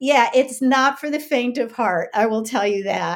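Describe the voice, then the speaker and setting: A woman with an ordinary speaking voice at a fairly slow pace, ordinary pitch variation, on a very clean recording with a silent background. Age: 60s. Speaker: author and ministry teacher. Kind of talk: personal testimony in interview.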